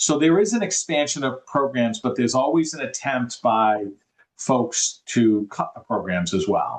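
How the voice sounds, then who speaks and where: A man in a Boston accent, medium pitch, lively intonation and a fairly slow pace. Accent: Boston accent, noticeable. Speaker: affordable housing developer. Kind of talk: interview. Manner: halting, many repetitions.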